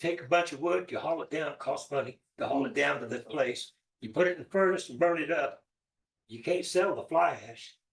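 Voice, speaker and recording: The voice is loud, with vocal fry and a fairly quick pace. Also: man, fairly high pitch for a man, lively intonation. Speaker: council member. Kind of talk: public meeting question. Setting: city council meeting.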